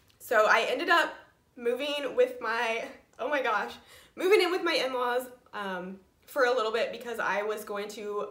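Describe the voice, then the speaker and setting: With audible room echo, a woman with an American accent speaks at a fairly high pitch with ordinary pitch variation. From Indiana, US Midwest. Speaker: knitting podcaster. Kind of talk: personal vlog update.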